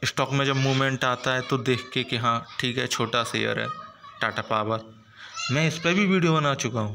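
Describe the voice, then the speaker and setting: Over noticeable background noise, a man speaks at medium pitch with a non-native accent. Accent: non-native Hindi, self-described weak. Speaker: stock market YouTuber. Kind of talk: stock market commentary video. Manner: animated, enthusiastic.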